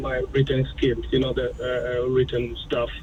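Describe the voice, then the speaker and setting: A man speaks over noticeable background noise. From a developing country abroad. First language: not English. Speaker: caller, police officer. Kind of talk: phone-in call. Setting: phone call. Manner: halting, many fillers.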